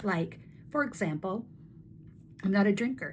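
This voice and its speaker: A woman's somewhat breathy voice at medium pitch and a moderate pace. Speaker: network marketing coach and video host. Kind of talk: casual talking-head tutorial. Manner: animated.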